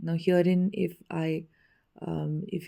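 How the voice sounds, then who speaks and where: A woman's fairly low pitch and dark, mellow tone in an Indian accent. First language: Hindi. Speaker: spiritual teacher. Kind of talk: spiritual teaching talk.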